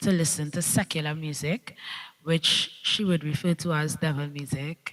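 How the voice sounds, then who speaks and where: A woman speaks fairly slowly in a Trinidadian accent, her pitch fairly low. The recording is very clean, with a silent background. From Trinidad, Central. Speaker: dancehall/soca artist. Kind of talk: panel discussion.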